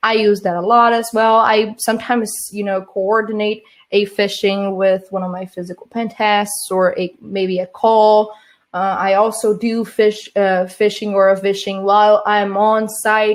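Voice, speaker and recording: This woman has a Portuguese accent and a medium pitch. Her intonation is monotone and flat. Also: fairly slow pace. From Brazil. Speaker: social engineer, conference speaker. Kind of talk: conference talk. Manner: halting, many fillers and restarts.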